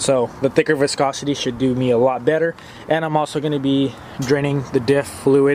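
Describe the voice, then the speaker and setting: A man's fairly high, flat monotone at a fairly quick pace, with noticeable background noise. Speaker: car enthusiast YouTuber. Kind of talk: casual garage vlog tutorial. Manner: hurried; halting, self-correcting.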